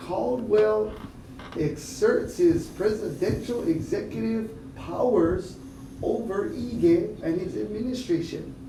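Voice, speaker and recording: The speech goes at a very slow pace over noticeable background noise. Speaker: news commentator / host. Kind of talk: independent news commentary broadcast. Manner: animated, opinionated commentary.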